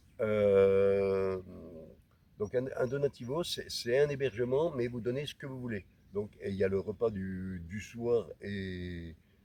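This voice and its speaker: A man talks fairly slowly in a dark, mellow tone, his pitch varying in an ordinary way. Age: 60s. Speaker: hiker vlogger. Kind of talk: vlog talk. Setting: outdoors. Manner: halting.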